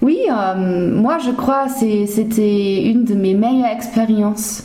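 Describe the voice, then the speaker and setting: A woman with a German accent speaks at a very slow pace, fairly high in pitch and with fairly even intonation. Noticeable background noise and audible room echo fill the recording. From Germany (Hesse). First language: German (speaking French). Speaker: former language assistant. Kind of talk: interview. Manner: halting, with frequent hesitations and repetitions.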